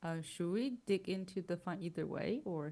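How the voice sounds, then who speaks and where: A soft-spoken woman talks at a fairly slow pace in a fairly low pitch. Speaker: music composition teacher. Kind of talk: livestream chat. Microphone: far from the mic.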